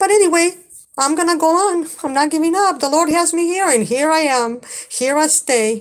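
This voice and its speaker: A woman with a strong Spanish accent speaks at an extremely high pitch with ordinary variation, at a moderate pace and very even loudness. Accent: heavy Spanish. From Mexico. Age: 50s. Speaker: livestreamer. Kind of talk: live stream chat. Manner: halting.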